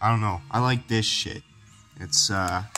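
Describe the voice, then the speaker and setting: Music plays in the background. A man speaks at a fairly slow pace and a fairly low pitch. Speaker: amateur cooking vlogger. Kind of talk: casual talk to camera. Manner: rambling, profane, laid-back.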